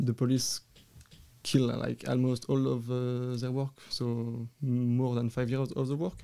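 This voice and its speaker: In a French accent, a man talks at a fairly slow pace with a medium pitch, a dark, mellow tone and monotone, flat intonation. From Wallonia, Belgium. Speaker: cannabis grower and breeder. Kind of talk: interview. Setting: studio.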